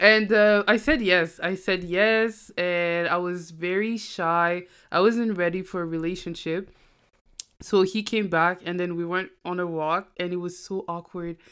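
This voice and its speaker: A plain, everyday voice, a woman's at medium pitch, moves at a fairly slow pace with fairly even intonation on a very clean recording with a silent background. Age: 20s. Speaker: university student and podcaster. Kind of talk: casual chat.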